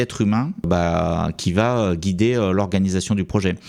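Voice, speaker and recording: The man's pitch varies in an ordinary way. He gets through his words at a fairly quick pace. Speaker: software development educator, YouTuber. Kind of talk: educational talk commenting slides. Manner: fast; hesitant, many fillers.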